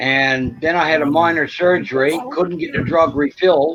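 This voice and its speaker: A man talks at a moderate pace with fairly even intonation. He has a normal speaking voice. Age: 60s. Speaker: veteran with PTSD. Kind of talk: casual chat.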